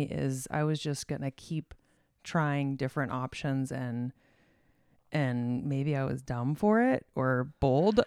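A woman with an American accent and a dark, mellow tone, very deep and low in pitch with ordinary pitch variation, at a fairly slow pace, in a very clean recording with a silent background and a dry, close sound with no echo. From Arizona. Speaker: designer and artist. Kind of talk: interview conversation.

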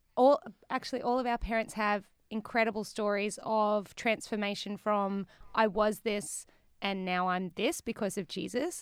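With an Australian accent, a woman speaks fairly slowly in a fairly high voice on a very clean recording with a silent background. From Australia, Newcastle NSW. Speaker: musician in a worship band. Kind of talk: casual interview.

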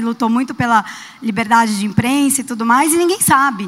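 High female speech with ordinary shifts in pitch. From Brazil, São Paulo. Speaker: audience member. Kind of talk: audience question.

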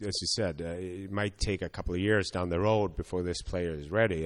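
A man with a Swedish accent, very deep and low in pitch, with ordinary pitch variation, a moderate pace and a quiet background. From Sweden. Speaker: hockey scouting director. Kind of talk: interview. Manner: halting, many fillers.

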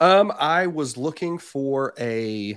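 Here a man speaks with an American accent. His pitch is fairly high and his intonation lively. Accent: Southern US, hillbilly-tinged. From southern Indiana, US. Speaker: reptile breeder. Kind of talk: casual chat, podcast interview. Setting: video call.

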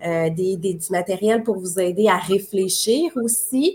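This woman has an ordinary speaking voice, pitched in the medium range. Her intonation stays fairly even. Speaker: marketing coach. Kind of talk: live-streamed promotional chat.

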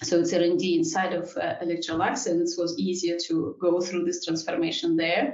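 A woman's fairly low voice in a Russian accent, at a moderate pace with ordinary pitch variation. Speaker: engineering executive. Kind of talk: panel discussion.

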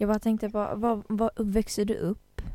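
A woman at a medium pitch, dark and mellow in tone, speaking at a very slow pace. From Kurdistan. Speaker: community radio host. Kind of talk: casual chat.

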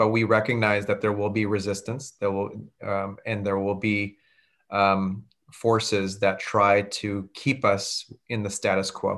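Flat and monotone, a man speaks at a fairly low pitch with an American accent. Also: very clean recording, silent background. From California, Santa Clara County. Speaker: public defender running for district attorney. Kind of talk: interview.

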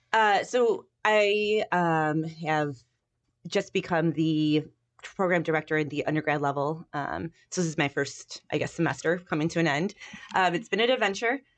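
Against a quiet background, a woman with a Chicago accent talks at a moderate pace in a fairly low voice with ordinary pitch variation. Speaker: university professor. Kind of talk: casual interview chat.

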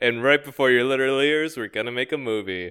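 An unremarkable speaking voice from a man. His pitch is medium, with ordinary pitch variation. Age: 20s. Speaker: podcast co-host. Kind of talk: casual comedic chat.

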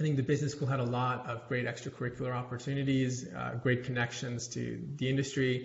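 In an American accent, a man speaks at a medium pitch with monotone, flat intonation. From US South, North Carolina and Atlanta. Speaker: tech startup founder. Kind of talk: interview.

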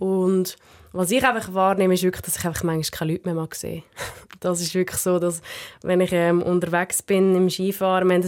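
This unremarkable speaking voice moves at a fairly quick pace with fairly even intonation. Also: woman. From Central Switzerland. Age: 20s. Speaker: alpine ski racer. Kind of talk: casual interview.

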